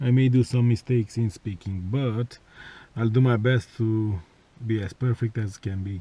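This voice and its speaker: With a non-native accent, a man speaks at a moderate pace in a dark, mellow, somewhat breathy tone, his intonation fairly even. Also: medium pitch for a man. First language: not English. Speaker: car enthusiast vlogger. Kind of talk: tutorial. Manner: halting, many fillers.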